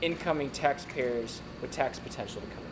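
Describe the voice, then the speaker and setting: Someone with an American accent speaks at a moderate pace with ordinary pitch variation amid noticeable background noise. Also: man. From Virginia. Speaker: congressional candidate. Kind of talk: candidate forum. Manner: halting.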